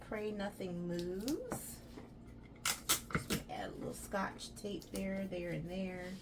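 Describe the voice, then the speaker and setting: A woman's medium-pitched voice with an American accent, audible room echo and noticeable background noise. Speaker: crafter and small business owner. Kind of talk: crafting tutorial vlog. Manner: casual, chatty.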